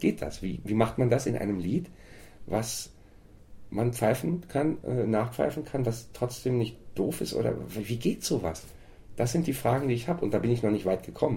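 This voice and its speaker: A man speaks at a moderate pace with long, frequent pauses. His tone is dark and mellow, somewhat breathy, with lively intonation. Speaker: folk singer and songwriter. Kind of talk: interview.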